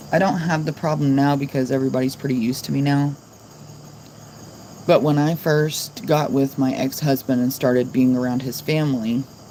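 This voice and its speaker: A woman speaks with a very deep, low pitch and fairly even intonation. Noticeable background noise runs under her voice. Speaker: live streamer. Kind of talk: casual chat. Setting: livestream. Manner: monotone.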